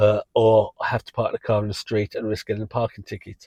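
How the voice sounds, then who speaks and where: In an English accent, the voice has a dry, close sound with no echo over a quiet background. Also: man. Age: 60s. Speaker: rideshare driver and channel host. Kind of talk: casual vlog talk. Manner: casual with frequent fillers.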